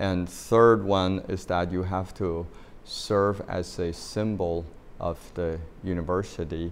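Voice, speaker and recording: A man with a Chinese accent speaks in a flat monotone at a very deep, low pitch. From China. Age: 60s. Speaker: university president. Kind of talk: interview. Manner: hesitant, many fillers.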